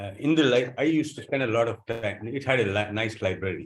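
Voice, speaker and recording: A man speaking at a very fast pace, somewhat breathy, with lively intonation. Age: 60s. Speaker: author and journalist, former air force. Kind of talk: talk about his book at a meeting. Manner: halting.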